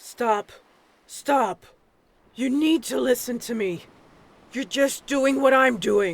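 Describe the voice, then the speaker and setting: Using a put-on character voice at an extremely high pitch, a man talks at a very slow pace with long, frequent pauses. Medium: read story. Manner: insistent.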